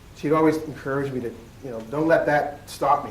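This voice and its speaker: A man is talking. Room echo can be heard. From Nova Scotia, Weymouth Falls, Digby County. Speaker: keynote speaker, educator. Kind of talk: keynote speech. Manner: animated.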